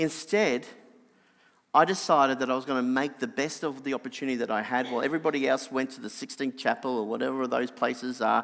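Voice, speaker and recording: With an Australian accent, a man speaks at a very fast pace in a medium pitch with ordinary pitch variation, captured in a very clean recording against a silent background. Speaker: preacher. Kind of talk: sermon.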